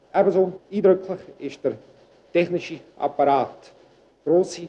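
A man speaks in a high pitch with a dark, mellow tone. His intonation stays fairly even. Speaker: newspaper editor-in-chief. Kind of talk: 1965 documentary film narration, statement to camera about his job. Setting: office, newsroom. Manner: formal, measured, businesslike.

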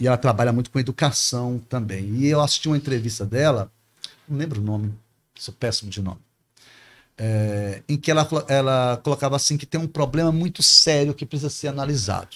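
A man talks fairly quickly, his pitch rising and falling in an ordinary way. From Espírito Santo, then Pará, Brazil. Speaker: teacher and politician. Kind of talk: interview answer. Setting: studio. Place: studio. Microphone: studio mic.

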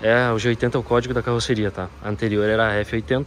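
With light noise behind him, a man keeps his intonation fairly even at a moderate pace. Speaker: presenter. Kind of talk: car walkaround review. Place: shop. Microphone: phone near.

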